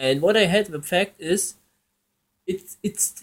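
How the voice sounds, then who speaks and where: A man with a non-native accent speaks at a high pitch, with ordinary pitch variation. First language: German. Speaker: gaming YouTuber. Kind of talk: casual commentary. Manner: halting, with restarts.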